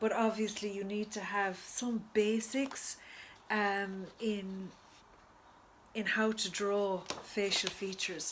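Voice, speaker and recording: A woman speaks very slowly at a medium pitch, her intonation monotone and flat. Noticeable background noise runs underneath. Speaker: book reviewer and writer. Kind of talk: casual video review. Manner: halting, with stutters and fillers.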